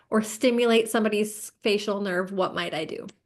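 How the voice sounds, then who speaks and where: A woman with a normal speaking voice talks with ordinary pitch variation. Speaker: yoga teacher trainer. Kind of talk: lecture.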